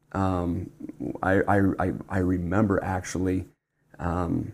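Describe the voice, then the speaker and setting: This man speaks with a Utah accent. His pitch is fairly low. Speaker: church bishop. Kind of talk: casual interview. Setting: studio table. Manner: halting, many fillers.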